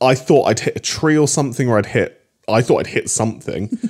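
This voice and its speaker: In a very clean recording with a silent background, a man with a medium-pitched voice talks at a moderate pace in an animated tone. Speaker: comedy podcast co-host. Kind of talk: casual chat. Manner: animated, laughs often.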